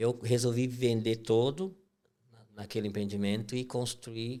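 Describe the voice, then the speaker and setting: This man has a medium pitch, a dark, mellow tone and fairly even intonation, speaking at a fairly slow pace. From Brazil, western Santa Catarina countryside (Princesa). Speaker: construction company owner. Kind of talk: podcast interview.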